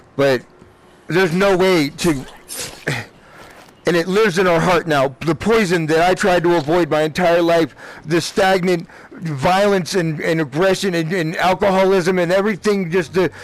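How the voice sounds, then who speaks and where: A man talks at a high pitch with fairly even intonation. Noticeable background noise runs behind him. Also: moderate pace, very even loudness. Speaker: gaming streamer. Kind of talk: emotional personal rant during gameplay stream. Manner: emotional, agitated.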